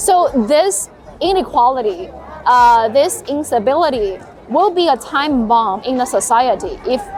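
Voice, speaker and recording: A woman's high voice in an American accent, fairly slow, with very wide pitch swings, music in the background and audible room echo. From northern China, Heilongjiang. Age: 30s. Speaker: journalist. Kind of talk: interview. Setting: outdoors, Tiananmen Square.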